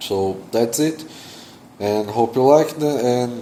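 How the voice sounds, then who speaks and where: At a very slow pace and with ordinary pitch variation, the speaker talks in a non-native accent over noticeable background noise. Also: man. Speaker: security researcher YouTuber. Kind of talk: technical explainer video. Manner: hesitant, many fillers.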